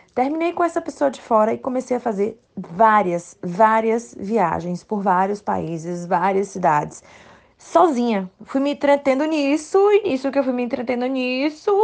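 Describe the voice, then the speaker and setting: In an animated tone, a woman speaks at a fairly slow pace with a fairly high pitch and very wide pitch swings. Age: 30s. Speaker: listener testimonial. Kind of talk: recorded testimony.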